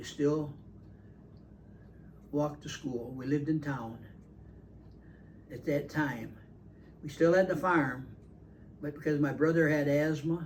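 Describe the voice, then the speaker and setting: A somewhat breathy man with a fairly high voice speaks at a fairly slow pace, leaving long, frequent pauses. His intonation stays fairly even while his loudness swings widely. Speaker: retired farmer and grandfather. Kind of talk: casual family conversation.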